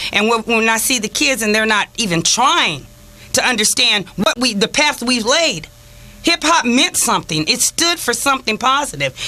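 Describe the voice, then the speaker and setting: Over noticeable background noise, a woman with a fairly high pitch keeps her loudness very even while her pitch swings very widely. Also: moderate pace. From Los Angeles, California (Watts, Inglewood). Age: 50s. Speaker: community activist. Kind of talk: radio talk show discussion.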